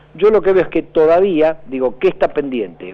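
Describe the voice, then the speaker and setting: At a fairly quick pace, the speaker talks in an unremarkable speaking voice. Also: man. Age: 50s. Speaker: political analyst. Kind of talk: radio interview.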